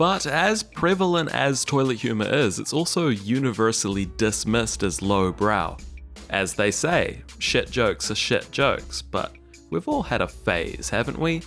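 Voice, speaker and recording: With music playing behind him, a man talks at a fairly slow pace with a New Zealand accent. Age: 20s. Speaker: YouTuber, video essayist. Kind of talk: comedic video essay narration.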